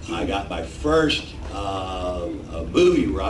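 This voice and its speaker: With noticeable background noise and audible room echo, a man speaks with very wide pitch swings. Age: 60s. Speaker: comedian. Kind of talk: stand-up. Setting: stage with audience.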